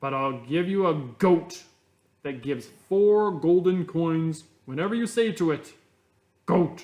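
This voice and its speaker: Using a put-on character voice, a man sounds gruff and loud with a high pitch. He speaks at a fairly slow pace with long, frequent pauses. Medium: read story. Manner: blunt, gruff.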